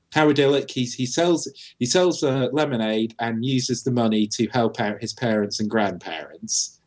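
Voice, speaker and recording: Moderate pace and ordinary pitch variation from a man with a British accent. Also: medium pitch for a man. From Britain. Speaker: podcast co-host. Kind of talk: casual chat.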